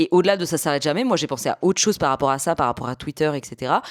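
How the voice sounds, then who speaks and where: A woman talks very fast with lively intonation. The sound is dry and close, with no echo. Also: very clean recording, silent background. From Paris, France. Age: 30s. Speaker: YouTuber, podcaster. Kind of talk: casual video podcast commentary.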